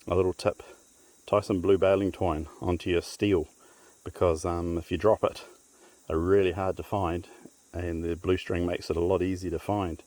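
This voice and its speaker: In a New Zealand accent, a man with a very deep, low pitch and a dark, mellow tone talks at a moderate pace in monotone, flat intonation, leaving long, frequent pauses. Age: 50s. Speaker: hunter. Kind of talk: casual talk to camera. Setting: outdoors.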